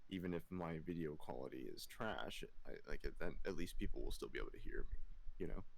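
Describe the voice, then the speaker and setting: A man mumbles at a fairly quick pace. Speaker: streamer and podcast host. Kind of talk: casual chat. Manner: stutters and mumbles.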